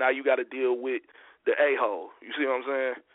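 A man with an American accent has an unremarkable speaking voice at a medium pitch. His pace is moderate and his intonation fairly even. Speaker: hip hop artist guest. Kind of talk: casual interview chat.

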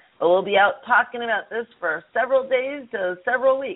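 Speaking at a moderate pace with lively intonation, this is a normal speaking voice with an American accent. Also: woman. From Chicago. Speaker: radio show co-host. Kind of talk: interview. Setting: call-in radio show.

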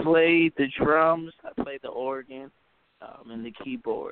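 A man speaks with a high pitch and lively intonation. His loudness swings widely. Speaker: gospel musician. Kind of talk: radio interview. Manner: soft-spoken.

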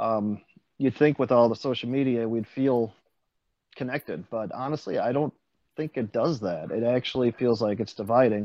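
A man speaks at a moderate pace with a medium pitch. He has a normal speaking voice. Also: ordinary pitch variation. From central Wisconsin. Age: 40s. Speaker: stand-up comedian. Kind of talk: casual interview.

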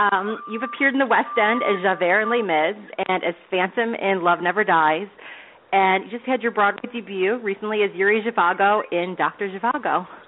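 A woman with a medium pitch and ordinary pitch variation talks at a moderate pace over noticeable background noise. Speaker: podcast host. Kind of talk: celebrity interview, casual chat.

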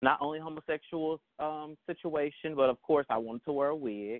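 A man speaks with a Southern accent. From Texas, Dallas. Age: 30s. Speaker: drag performer. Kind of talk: interview.

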